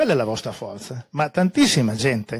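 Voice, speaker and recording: A man's somewhat breathy voice, fairly quick in pace and lively in intonation, over a quiet background. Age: 70s. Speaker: scholar and speaker at a public talk; conference speaker. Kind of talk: public talk with slides; lecture. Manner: halting, many fillers. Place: meeting room. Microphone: handheld.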